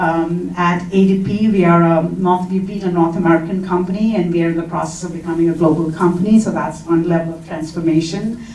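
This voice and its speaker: A woman with an Indian accent talks at a very fast pace with hardly any pauses, her intonation monotone and flat, amid audible room echo and noticeable background noise. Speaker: HR talent executive, panelist. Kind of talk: conference panel discussion. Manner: hesitant, frequent fillers.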